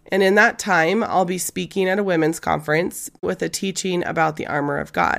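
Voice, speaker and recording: A woman with vocal fry speaks at a fairly quick pace, with hardly any pauses. The recording is very clean, with a silent background. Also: ordinary pitch variation. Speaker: podcast host and ministry leader. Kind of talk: faith-based podcast monologue.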